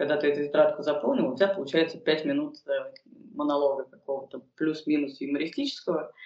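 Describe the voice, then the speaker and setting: Very deep and low in pitch, a woman talks at a fairly quick pace with ordinary pitch variation. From Moscow, Russia. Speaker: stand-up comedian and fitness trainer. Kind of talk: casual interview chat.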